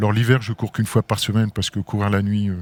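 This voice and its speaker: The sound is dry and close, with no echo. A man speaks in a fairly low pitch with monotone, flat intonation. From France, moved often incl. abroad. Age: 60s. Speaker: sports club president and business executive. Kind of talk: interview. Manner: hesitant, many fillers.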